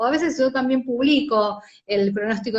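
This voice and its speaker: A woman with an Argentine accent at a moderate pace. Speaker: journalist, commercial announcer, weather presenter. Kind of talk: interview answer.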